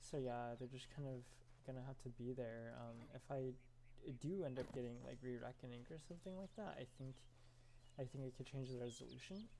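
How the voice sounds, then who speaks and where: A soft-spoken man talks at a fairly quick pace, his medium-pitched voice dark and mellow in tone. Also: ordinary pitch variation. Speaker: video game streamer. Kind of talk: gameplay commentary. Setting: apartment, live stream. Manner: halting.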